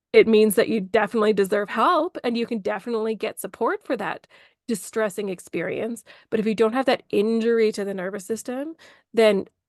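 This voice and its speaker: A woman with a fairly high pitch and ordinary pitch variation talks at a fairly quick pace in a dry, close sound with no echo against a quiet background. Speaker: burnout coach, former ICU nurse. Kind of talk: interview, explanatory. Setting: podcast interview. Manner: fast.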